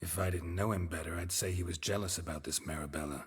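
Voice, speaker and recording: In a put-on character voice, a man growls at a very deep, low pitch. He talks at a very fast pace. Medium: video game. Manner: dry, understated.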